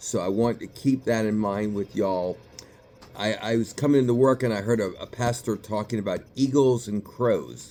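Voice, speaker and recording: With a slight New York accent, a man talks at a moderate pace in a medium pitch, his dark, mellow tone carried by fairly even intonation. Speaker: psychiatrist. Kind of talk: motivational talk to camera. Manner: casual, conversational.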